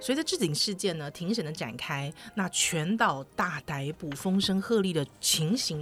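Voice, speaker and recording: Barely pausing, a woman with a Taiwanese accent speaks at a moderate pace in a fairly low pitch with lively intonation. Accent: Taiwanese Mandarin. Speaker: podcast host. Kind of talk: scripted episode introduction. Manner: formal.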